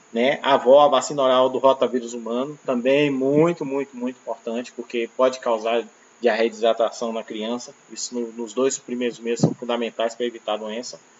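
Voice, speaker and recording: Monotone and flat, the voice moves at a fairly quick pace with hardly any pauses over noticeable background noise. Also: man, medium pitch for a man. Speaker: teacher. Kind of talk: lecture. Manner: fast.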